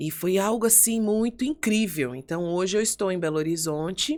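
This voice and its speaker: Speaking fairly slowly, a woman keeps to a medium pitch. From São Paulo state, Brazil. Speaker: pastor. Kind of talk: podcast interview.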